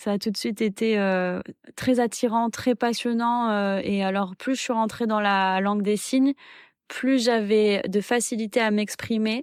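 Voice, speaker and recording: In a very clean recording with a silent background, a woman speaks fairly slowly at a fairly high pitch with fairly even intonation. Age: 20s. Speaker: sign language interpreter and doctoral researcher. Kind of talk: testimony. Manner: hesitant, many filler sounds.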